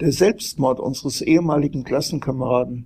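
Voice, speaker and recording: In a very clean recording with a silent background, a man speaks at a fairly high pitch with vocal fry. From Frankfurt area, Germany. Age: old. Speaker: journalist and author. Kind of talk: reading aloud.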